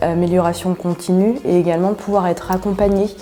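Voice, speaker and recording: Over noticeable background noise, a woman talks at a moderate pace with a medium pitch and fairly even intonation. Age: 40s. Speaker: agile coach. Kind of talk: interview testimony. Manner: hesitant, many filler sounds.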